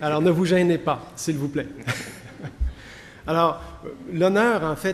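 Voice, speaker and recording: A man with a fairly high pitch and ordinary pitch variation pauses long and often, over noticeable background noise. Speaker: professor. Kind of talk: conference lecture. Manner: tries to speak slowly and clearly.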